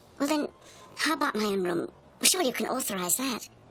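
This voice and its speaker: A woman's high, put-on character voice at a very fast pace, with very wide pitch swings over light background noise. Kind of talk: well-spoken, upper-class English. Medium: short film. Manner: articulate, indignant, proud.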